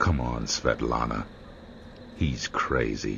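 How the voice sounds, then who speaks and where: Putting on a character voice, a man speaks at a very slow pace in a very deep, low pitch over clear background noise. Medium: video game. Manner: terse, sardonic.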